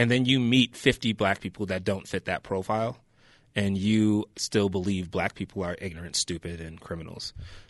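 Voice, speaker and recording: With an American accent, a man speaks at a moderate pace and fairly low pitch with ordinary pitch variation. The sound is dry and close with no echo against a quiet background. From upstate New York, Rochester. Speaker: arts nonprofit founder. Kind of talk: interview. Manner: halting, many fillers.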